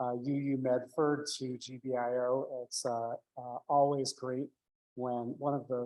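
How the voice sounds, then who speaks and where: A man speaks at medium pitch in a dark, mellow tone. His intonation is flat and monotone. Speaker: tenant organizer, congregant. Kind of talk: public talk at forum. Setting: community forum in church hall, hybrid with Zoom. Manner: loud.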